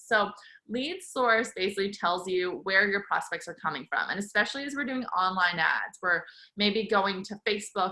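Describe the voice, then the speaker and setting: Over a quiet background, a woman speaks in a bright, sharp tone. Her pace is moderate, with ordinary pitch variation. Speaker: legal marketing presenter; webinar presenter. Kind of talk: webinar presentation.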